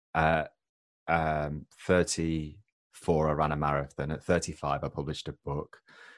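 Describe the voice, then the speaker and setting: A man with an English accent speaks at a very deep, low pitch in a flat monotone. The recording is very clean, with a silent background and a dry, close sound with no echo. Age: 40s. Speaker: author and widower. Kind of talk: interview.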